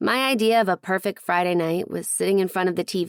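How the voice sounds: The voice reads naturally. Its pitch shows ordinary variation.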